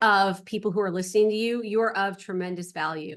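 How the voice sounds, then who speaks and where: A woman with an American accent speaks in an animated tone. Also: quiet background. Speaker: real estate investor and capital raiser. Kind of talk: presentation. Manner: fast.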